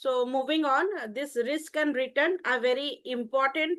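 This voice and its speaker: Against a quiet background, a woman projects a raised, high-pitched voice with a bright, sharp tone, speaking at a moderate pace with ordinary pitch variation. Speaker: college teacher. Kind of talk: online class lecture. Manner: hesitant, many fillers.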